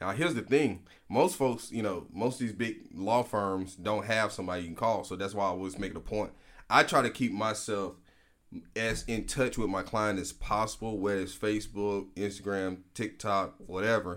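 Speaking with an Alabama accent, a man has a fairly low pitch. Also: ordinary pitch variation, moderate pace. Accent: Southern US (Alabama). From US South, Prichard, Alabama (Mobile County). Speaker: lawyer. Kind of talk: casual interview. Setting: studio.

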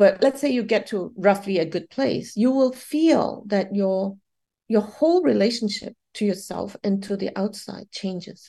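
Against a quiet background, a woman talks at a fairly slow pace with a dark, mellow tone. Her medium-pitched, somewhat breathy voice shows ordinary pitch variation. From Malaysia. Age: 50s. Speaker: Buddhist psychotherapist. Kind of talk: interview.

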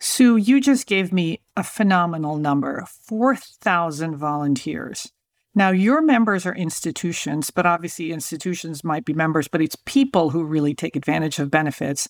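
A woman with a plain, everyday voice speaks at a moderate pace and a fairly low pitch, her intonation lively, in a very clean recording with a silent background. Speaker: podcast host. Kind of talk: interview conversation.

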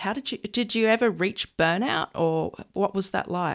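Using normal pitch movement, a woman talks in an Australian accent. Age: 30s. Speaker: podcast host. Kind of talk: interview; scripted outro. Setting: video call.

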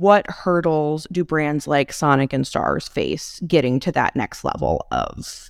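A woman with an American accent is heard in a very clean recording with a silent background and a dry, close sound with no echo. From US Midwest (McHenry County, Illinois). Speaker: podcast host. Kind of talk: casual interview.

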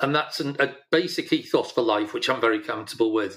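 A man with a Yorkshire accent on a very clean recording against a silent background. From Yorkshire, northern England. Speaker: retired business leader and charity organiser. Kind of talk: interview.

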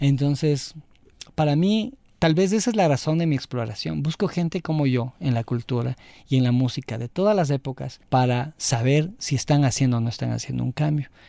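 A man with a fairly high pitch speaks at a moderate pace in a dark, mellow tone with ordinary pitch variation. The recording is very clean, the background silent. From Ecuador, Quito. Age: 40s. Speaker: multimedia designer and music enthusiast. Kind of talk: casual chat.

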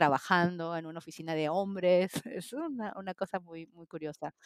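An ordinary speaking voice from a woman, fairly low in pitch with ordinary pitch variation, at a moderate pace, in a dry, close sound with no echo. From Peru. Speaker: interpreter. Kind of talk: casual chat.

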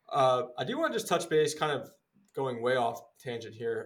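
This man has a plain, everyday voice, speaking at a moderate pace and medium pitch with an American accent. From Philadelphia, US East Coast. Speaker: sports podcast host. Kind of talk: casual sports talk.

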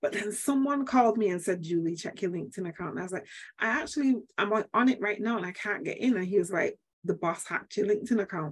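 A woman with a Manchester accent, medium pitch, lively intonation and a very fast pace. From Manchester, England. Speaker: HR coach and speaker. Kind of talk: interview storytelling. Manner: well-spoken.

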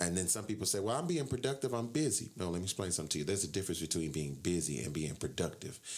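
A man speaks at a very fast pace with hardly any pauses. His very deep, low voice swings very widely in pitch. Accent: American. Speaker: radio host. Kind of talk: casual radio hosting chat. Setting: radio studio. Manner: animated, loud, energetic.

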